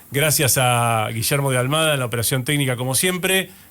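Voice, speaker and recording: Speaking at a moderate pace in a Rioplatense accent, a man uses a medium pitch with ordinary variation. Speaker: radio host and astrologer. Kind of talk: radio show monologue.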